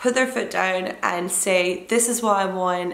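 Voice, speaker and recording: A woman's voice at a fairly slow pace, with audible room echo. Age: 20s. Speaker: fitness vlogger and online coach. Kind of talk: casual vlog talk to camera.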